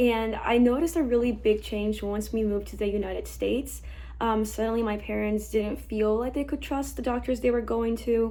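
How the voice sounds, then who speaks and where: A woman with a Spanish accent speaks at a moderate pace, with audible room echo. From Mexico, then Texas from age eight. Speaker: medical student. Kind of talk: testimony.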